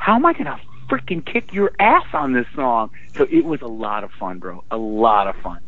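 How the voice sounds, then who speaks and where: There is noticeable background noise in this clip. Through it, a man speaks at a moderate speed. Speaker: rock singer. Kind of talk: casual interview. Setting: phone call.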